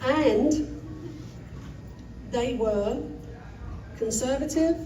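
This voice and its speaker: Noticeable background noise and audible room echo surround the recording. A woman speaks with high pitch and ordinary pitch variation. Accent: London. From England, London. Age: 70s. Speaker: storyteller. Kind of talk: live personal storytelling. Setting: stage with audience. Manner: halting, loses her place.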